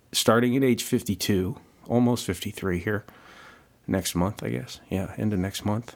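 With vocal fry and a fairly low pitch, a man talks at a fairly slow pace and uses ordinary pitch variation. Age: 50s. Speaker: podcast host. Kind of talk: solo podcast monologue. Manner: halting with many fillers.

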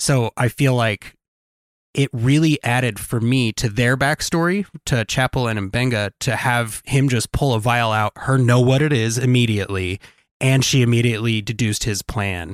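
In a very clean recording with a silent background and a dry, close sound with no echo, a man uses an ordinary speaking voice at medium pitch, moderate pace, ordinary pitch variation and very even loudness. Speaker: podcast co-host. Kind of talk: casual chat.

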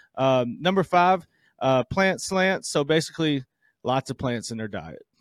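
A normal speaking voice in an American accent, fairly slow with lively intonation, dry and close with no echo in a very clean recording with a silent background. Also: man. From US South. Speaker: doctor and podcast co-host. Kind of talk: casual chat.

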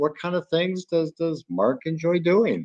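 Here a man speaks with an American accent at a fairly slow pace. His pitch is high. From Chicago, US Midwest. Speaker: podcast host. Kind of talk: interview.

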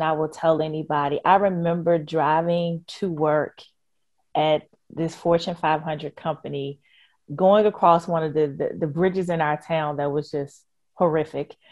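A woman with an American accent and an ordinary speaking voice talks at a fairly low pitch and a moderate pace. Her intonation is fairly even, and the background is quiet. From Richmond, Virginia. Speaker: nonprofit education leader. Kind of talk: interview.

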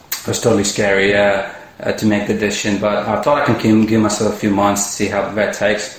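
A man talks at a fairly quick pace with hardly any pauses, his fairly low voice monotone and flat. Room echo is audible, and background noise is noticeable. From India. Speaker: entrepreneur. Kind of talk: interview. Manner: halting, repeats words.

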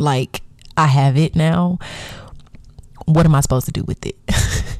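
A woman speaks at a very deep, low pitch with a dark, mellow tone and ordinary pitch variation. She is somewhat breathy and goes at a fairly slow pace. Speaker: podcast host. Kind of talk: casual solo podcast monologue.

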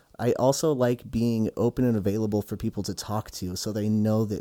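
A fairly low-pitched man with an American accent, a dark, mellow tone and fairly even intonation, at a fairly quick pace in a very clean recording with a silent background. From Utah. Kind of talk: interview testimony.

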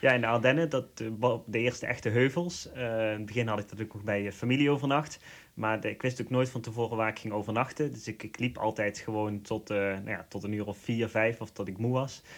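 Fairly quick in pace, a man with a Limburg accent speaks at medium pitch with fairly even intonation. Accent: Limburg Dutch. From Netherlands, Limburg. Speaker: pilgrim. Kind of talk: interview. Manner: hesitant, many fillers.

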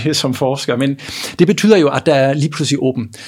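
The man speaks at a fairly high pitch. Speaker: economics professor. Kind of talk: interview. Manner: halting, many repetitions.

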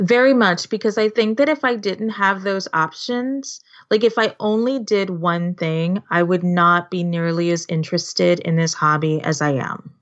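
With a Californian accent, a woman talks at a moderate pace with lively intonation and hardly any pauses. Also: medium pitch for a woman. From Southern California, Los Angeles. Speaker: scrapbooking artist. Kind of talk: casual interview.

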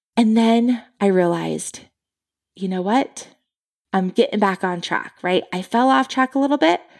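A woman speaks in an animated tone at a medium pitch and moderate pace, with ordinary pitch variation. The recording is very clean, with a silent background. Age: 40s. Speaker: podcast host and stress management coach. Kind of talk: solo podcast talk, motivational.

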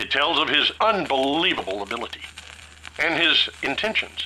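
A man with a Southern US accent over noticeable background noise. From Tennessee. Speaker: Bible teacher. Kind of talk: Bible study teaching.

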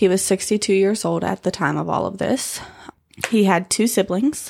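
A woman's ordinary speaking voice at a moderate pace, medium in pitch with ordinary variation, in a very clean recording with a silent background. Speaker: podcast co-host telling true crime story. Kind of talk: true crime storytelling, casual banter with swearing. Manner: casual, sarcastic, profane, joking.

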